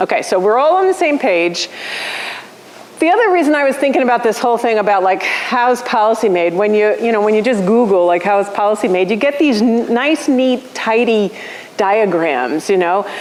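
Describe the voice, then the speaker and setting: A woman's fairly high voice moves with lively intonation at very even loudness, heard with audible room echo and noticeable background noise. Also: moderate pace. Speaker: policy lecturer. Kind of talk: lecture. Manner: animated. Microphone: room with bad acoustics.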